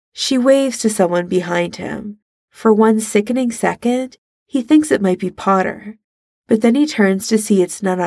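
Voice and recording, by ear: Quiet background behind reading aloud in a natural voice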